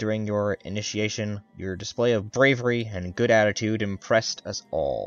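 The reading aloud is plain. Its intonation is fairly even.

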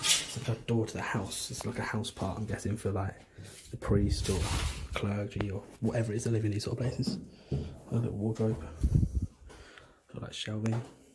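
Over loud background noise, the speaker keeps a moderate pace broken by long, frequent pauses. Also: man. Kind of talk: casual vlog commentary. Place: home room. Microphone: phone near.

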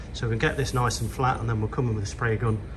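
A man's speech comes through with noticeable noise behind it. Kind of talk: tutorial. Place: workshop. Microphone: phone near.

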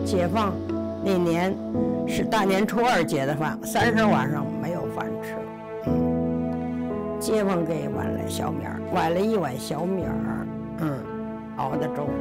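Over loud music in the background, a woman speaks at a very slow pace. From Beijing. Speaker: former circus performer. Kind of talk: interview answer. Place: home room.

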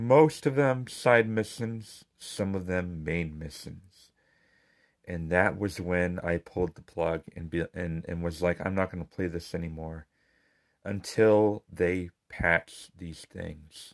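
A man mumbles very slowly at a very deep, low pitch with ordinary pitch variation and big swings in loudness. The recording is very clean with a silent background. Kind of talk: casual game review talk. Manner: mumbling.

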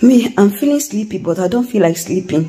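A soft-spoken woman talks with ordinary pitch variation. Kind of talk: casual vlog chat. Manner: drowsy, weak post-surgery murmur. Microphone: phone near.

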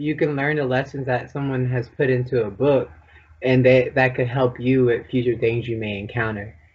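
A man with a medium-pitched, somewhat breathy voice speaks at a moderate pace. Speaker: podcast co-host. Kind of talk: interview.

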